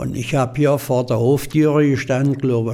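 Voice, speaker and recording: The pace is moderate as a man talks. His delivery stays monotone, with flat intonation. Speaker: eyewitness. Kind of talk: interview.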